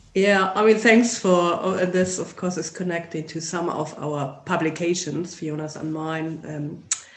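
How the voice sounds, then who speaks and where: The speech moves at a fairly slow pace with hardly any pauses. Noticeable noise can be heard in the background. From Germany. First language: German. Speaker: sociology lecturer. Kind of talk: interview.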